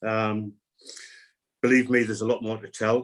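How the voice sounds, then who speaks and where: At medium pitch, a man delivers his words in a monotone, flat intonation. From northern England, Gateshead. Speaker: person living with Parkinson's, speaker. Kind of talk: webinar talk.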